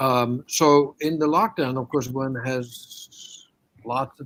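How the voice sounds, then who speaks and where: A man speaks at a very slow pace, his medium pitch showing ordinary pitch variation. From Denmark, Copenhagen. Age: 70s. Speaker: opera coach and pianist. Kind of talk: interview conversation. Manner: halting.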